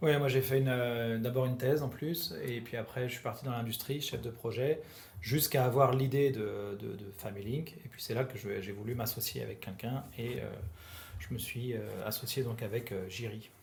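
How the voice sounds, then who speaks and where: A man speaks at a moderate pace and medium pitch with ordinary pitch variation. His voice is somewhat breathy, and the room echo is audible. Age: 30s. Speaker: startup co-founder, engineer. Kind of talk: interview. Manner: halting.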